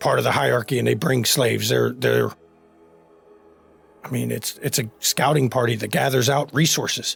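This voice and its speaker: Over faint background music, a man does a raspy put-on character voice at medium pitch and a moderate pace. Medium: actual play. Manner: folksy, casual drawl.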